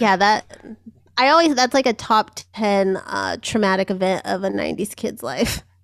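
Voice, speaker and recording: Sounding dry and close with no echo, a woman with a plain, everyday voice and an American accent talks at a medium pitch and a moderate pace with lively intonation. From Southern California. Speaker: podcast guest co-host. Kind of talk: casual chat.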